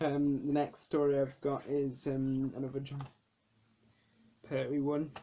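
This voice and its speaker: A man speaks with a British accent at a fairly slow pace, leaving long, frequent pauses. His fairly high voice has a dark, mellow tone and a monotone, flat intonation. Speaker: DVD collector vlogger. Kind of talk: casual video review. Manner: hesitant with frequent ums.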